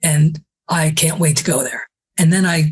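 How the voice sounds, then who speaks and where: Somewhat breathy, a woman talks in a very deep, low pitch. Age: 70s. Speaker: travel writer and author. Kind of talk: casual interview chat.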